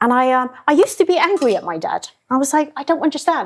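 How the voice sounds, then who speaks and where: Speaking at a very fast pace in a London accent, a woman swings her pitch very widely. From England, London. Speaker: chef. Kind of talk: casual chat.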